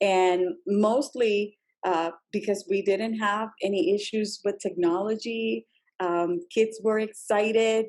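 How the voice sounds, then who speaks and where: A woman with a Spanish accent speaks at a very slow pace and a medium pitch. Her intonation is fairly even, and her loudness stays very even. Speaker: school district EL education leader. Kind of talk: podcast interview.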